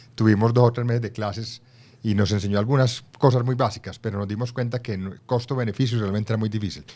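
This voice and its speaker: Fairly even intonation comes through at a very fast pace. The recording is very clean, with a silent background. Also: man. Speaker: former ambassador and author. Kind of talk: interview.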